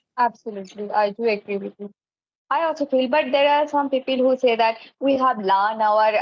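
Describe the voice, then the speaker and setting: A woman talks at a moderate pace. Her fairly high pitch shows ordinary variation. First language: Bengali. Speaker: English teacher. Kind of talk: casual chat. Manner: hesitant, many fillers.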